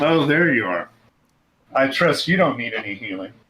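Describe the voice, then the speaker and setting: Using a put-on character voice, a man speaks at a moderate pace with lively intonation and a medium pitch. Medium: game stream. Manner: weary, exasperated.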